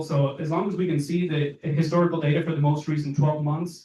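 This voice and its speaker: This man has a fairly high pitch and a dark, mellow, somewhat breathy tone, talking at a fairly quick pace in a monotone, flat intonation. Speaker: solar installer presenter. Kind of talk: presentation. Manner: fast.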